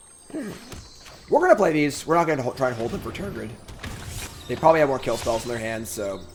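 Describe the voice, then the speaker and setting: A man with a medium pitch talks at a fairly quick pace, his intonation lively. His loudness swings widely, and there is noticeable background noise. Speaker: streamer playing card game. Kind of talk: live gameplay commentary. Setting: live stream. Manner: fast; casual.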